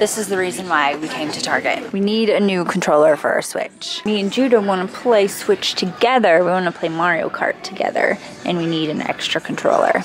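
Clear music plays in the background. The speech moves at a fairly quick pace. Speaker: parent vlogger. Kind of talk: casual vlog chat. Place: shop. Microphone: phone near.

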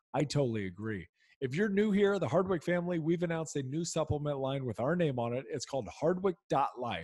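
A somewhat breathy man talks at a fairly quick pace with lively intonation. The background is quiet and the sound is dry with no echo. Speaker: podcast host, former football player. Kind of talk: podcast interview. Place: home room. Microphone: studio mic.

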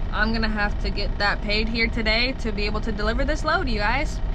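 Noticeable background noise sits under the speech. A woman with a high pitch talks at a fairly quick pace. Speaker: truck driver vlogger. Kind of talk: casual vlog chat. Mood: frustrated, embarrassed storytelling. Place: car. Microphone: phone near.

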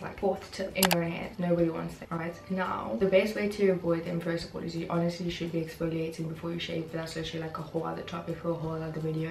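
A woman speaks at a very fast pace. Audible room echo and light background noise are present. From South Africa. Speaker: lifestyle vlogger. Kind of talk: casual talk to camera. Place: home room. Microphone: camera far.

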